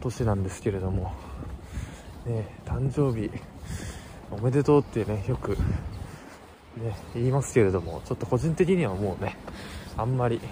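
Long, frequent pauses break up a man's moderate pace as he speaks at a medium pitch with lively intonation. Noticeable background noise is present. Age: 20s. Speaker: vlogger. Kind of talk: vlog monologue. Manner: halting, many fillers.

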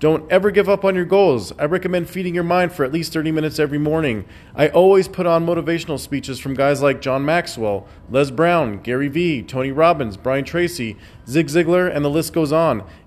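Over noticeable background noise, a man talks at a fairly quick pace in a fairly high voice with ordinary pitch variation. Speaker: podcaster. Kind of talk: motivational rant. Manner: intense, fired-up, forceful; blunt, preachy, emphatic.

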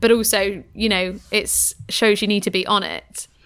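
Her animated tone sits at a fairly high pitch, and the woman's voice carries vocal fry. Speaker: podcast co-host. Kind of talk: casual chat and interview. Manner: animated, laughs often.

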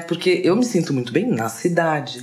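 A woman speaks at a fairly slow pace. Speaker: designer and radio show host. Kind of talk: casual chat.

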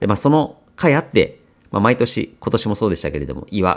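A man with a plain, everyday voice talks at a fairly quick pace with lively intonation. The recording is very clean, its background silent. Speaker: podcast host. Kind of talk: casual monologue for language learners.

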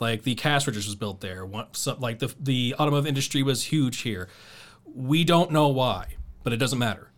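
In an Ohio accent, a man talks at a moderate pace. His pitch is medium, with ordinary pitch variation. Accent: Ohio, with Midwestern US features. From Dayton, Ohio. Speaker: radio DJ and podcast host. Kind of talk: casual chat.

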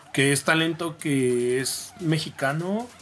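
The man's voice shows ordinary pitch variation. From Mexico City. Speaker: electronic music DJ and producer. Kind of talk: casual interview.

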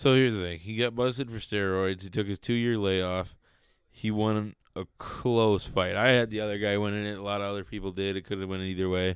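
A man speaks at a fairly quick pace, his intonation fairly even. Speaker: podcast co-host. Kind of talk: casual chat. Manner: loud, casual.

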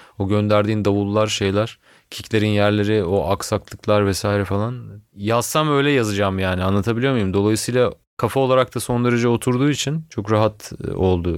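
A man talks in an ordinary speaking voice, pitched fairly low. His pitch varies in an ordinary way on a very clean recording with a silent background. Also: moderate pace, very even loudness. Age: 30s. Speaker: musician. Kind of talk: casual chat.

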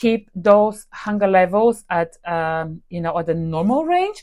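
Against a quiet background, a speaker with a Bulgarian accent uses lively intonation. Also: woman. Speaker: nutrition podcast host. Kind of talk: solo podcast talk. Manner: hesitant, many fillers.

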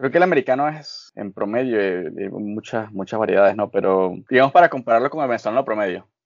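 Hardly pausing at all, a man talks at a very fast pace. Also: medium pitch for a man. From Venezuela, Barquisimeto (Lara). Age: 20s. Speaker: chef. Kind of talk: casual interview.

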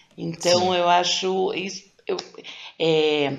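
A woman speaks very slowly at a fairly low pitch. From Brazil, São Paulo. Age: 50s. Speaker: teacher and blogger. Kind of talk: interview.

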